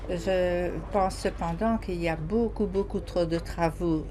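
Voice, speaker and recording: Amid noticeable background noise and audible room echo, a woman speaks very slowly. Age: 70s. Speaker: citizen interviewee. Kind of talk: vox pop testimony. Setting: mobile studio truck at a market.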